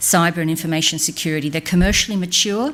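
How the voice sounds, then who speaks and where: Her pitch fairly low, a woman talks with an Australian accent. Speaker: business speaker on a government advisory panel. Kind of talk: conference speech. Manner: animated.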